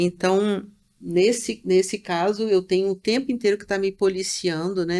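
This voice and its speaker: A woman's dark, mellow voice at a medium pitch, at a fairly slow pace with big swings in loudness. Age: 60s. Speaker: shaman teacher. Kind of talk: interview. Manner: halting.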